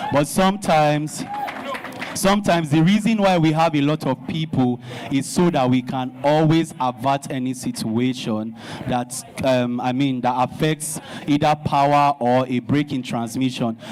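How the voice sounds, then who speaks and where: A man with a fairly high pitch speaks with ordinary pitch variation over noticeable background noise. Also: moderate pace. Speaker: DJ, association representative. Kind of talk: speech at a town hall meeting.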